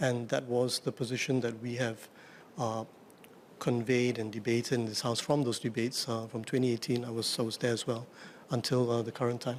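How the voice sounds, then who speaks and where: The man speaks quietly with monotone, flat intonation. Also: medium pitch for a man, fairly quick pace. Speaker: opposition member of parliament. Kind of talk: parliamentary debate. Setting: parliament chamber. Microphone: too quiet for the microphones.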